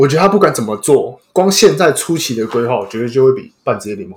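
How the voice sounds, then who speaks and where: At a fairly quick pace, a man speaks in a somewhat breathy voice with very wide pitch swings. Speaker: podcast host. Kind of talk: casual chat.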